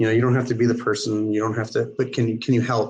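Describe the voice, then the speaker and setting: A man's medium-pitched, flat, monotone delivery at a very fast pace. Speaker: youth exchange district coordinator. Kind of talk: video call discussion. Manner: loud.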